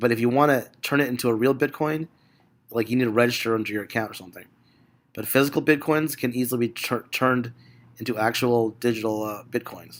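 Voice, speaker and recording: A man with a medium-pitched voice talks at a very fast pace, his intonation fairly even. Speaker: stock market analyst streamer. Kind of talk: live market commentary. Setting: live broadcast. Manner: casual, rambling with many fillers.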